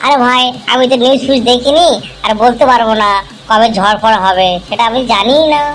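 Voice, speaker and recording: Clear background noise runs under a cartoonish, female-sounding character voice. It is high-pitched and moderately paced. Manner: chatty, nervous.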